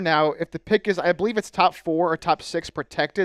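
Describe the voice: Recorded with a dry, close sound and no echo, a man speaks fairly quickly and fairly high, his clear, smooth tone carried by fairly even intonation.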